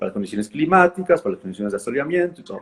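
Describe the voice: The man's voice carries a slightly husky edge. His pitch varies in an ordinary way.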